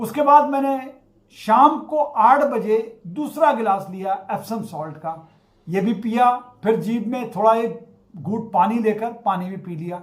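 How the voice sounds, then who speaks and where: A man speaks at a high pitch with lively intonation and big swings in loudness. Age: 60s. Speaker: acupressure therapist sharing health experience. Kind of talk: personal testimony.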